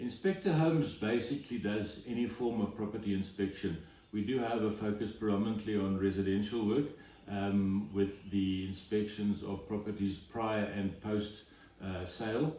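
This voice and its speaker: Audible room echo surrounds a man with a fairly low pitch. He speaks at a moderate pace with fairly even intonation. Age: 60s. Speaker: home inspector. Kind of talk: interview. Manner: hesitant, many fillers.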